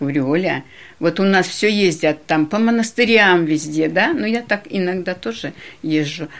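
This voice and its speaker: A woman with an unremarkable speaking voice, fairly low pitch and lively intonation, at a moderate pace, in a very clean recording with a silent background. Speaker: parishioner.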